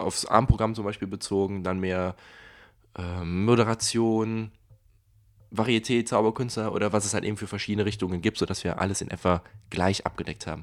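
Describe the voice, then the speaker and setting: A man's fairly low voice, fairly quick in pace, flat and monotone, with long, frequent pauses. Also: very clean recording, silent background. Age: 20s. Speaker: podcast host and magician. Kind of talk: casual chat.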